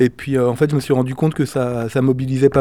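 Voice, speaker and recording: Dark, mellow male voice at a medium pitch and a moderate pace. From France, Lyon area. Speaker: club treasurer and volunteer. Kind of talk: interview.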